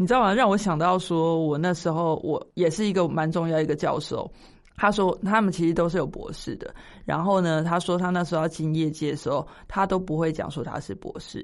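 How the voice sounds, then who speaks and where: Against a quiet background, a woman uses a normal speaking voice, fairly low in pitch and fairly even in intonation, at a fairly quick pace. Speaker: podcast co-host. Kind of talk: casual chat.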